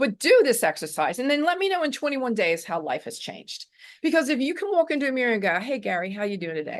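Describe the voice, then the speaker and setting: A woman's animated tone at a very fast pace, against a quiet background. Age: 60s. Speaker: author and self-esteem coach. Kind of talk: interview.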